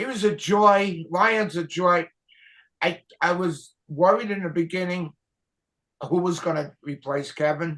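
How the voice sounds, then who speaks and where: A man with a New York accent speaks at a fairly slow pace. His voice is high-pitched, with a bright, sharp tone. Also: ordinary pitch variation. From Brooklyn, New York. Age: 80s+. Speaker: retired TV camera operator. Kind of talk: casual interview chat.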